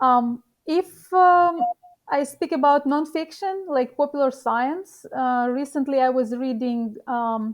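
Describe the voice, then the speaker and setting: A woman speaks very slowly with a non-native accent. Her pitch is high, with ordinary variation. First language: not English. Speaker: professional poker player. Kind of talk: interview. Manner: halting.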